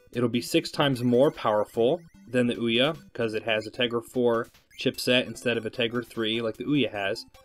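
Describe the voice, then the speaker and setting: A man speaks quietly while music plays in the background. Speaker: gaming video host. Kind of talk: casual commentary to camera.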